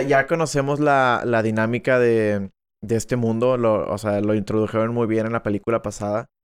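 The sound is dry and close with no echo against a quiet background, and the speech moves at a moderate pace with fairly even intonation. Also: man. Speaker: film podcast co-host. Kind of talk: casual chat. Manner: loud.

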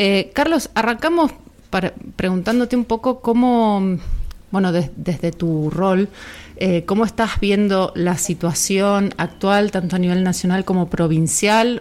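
Using a normal speaking voice at a medium pitch, a woman talks fairly slowly with ordinary pitch variation and very even loudness. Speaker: radio host. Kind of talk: radio interview.

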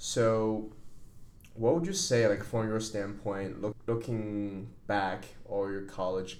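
Amid audible room echo, a man speaks at a very slow pace in a fairly low pitch. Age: 20s. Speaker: podcast host. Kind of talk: casual chat.

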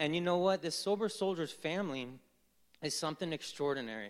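Using lively intonation, a man with an American accent speaks at a high pitch for a man. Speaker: fatherhood program facilitator. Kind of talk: testimony. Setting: church with congregation.

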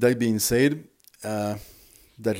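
This man has a French accent and a dark, mellow tone at a fairly low pitch, with ordinary pitch variation. The recording is very clean, with a silent background. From France; Loire Valley, France. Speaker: podcast host, rum expert. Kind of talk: solo podcast monologue. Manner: halting, with frequent filler words.

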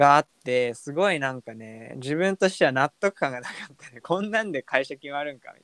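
An ordinary speaking voice with lively intonation and big swings in loudness. The sound is dry and close, with no echo. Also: man, fairly high pitch for a man. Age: 20s. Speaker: podcast co-host, office worker. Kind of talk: casual chat.

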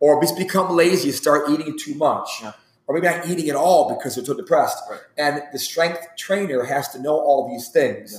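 A man with an unremarkable speaking voice, fairly high pitch and ordinary pitch variation, at a moderate pace with hardly any pauses and big swings in loudness. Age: 40s. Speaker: strength and conditioning coach. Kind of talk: casual interview.

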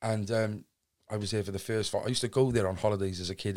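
In a Cardiff accent, a fairly low-pitched man talks at a very fast pace with fairly even intonation, on a very clean recording with a silent background. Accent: Cardiff Welsh English. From Wales, Cardiff. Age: 20s. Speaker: podcaster and recovering addict. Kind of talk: casual interview chat.

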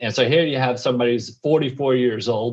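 Speaking fairly quickly in an American accent, a man uses a plain, everyday voice. His pitch is medium and his intonation fairly even. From New York. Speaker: podcast host, entrepreneur, Marine veteran and minister. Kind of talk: casual conversational chat.

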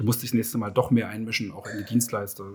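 With a somewhat breathy voice, a man talks at a medium pitch. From Germany, Leipzig (Saxony). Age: 40s. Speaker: entrepreneur. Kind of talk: interview. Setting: outdoors at a racecourse.

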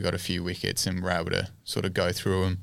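A man's very deep, low voice with an Australian accent. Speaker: cricketer. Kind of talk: casual interview. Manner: hesitant, many ums.

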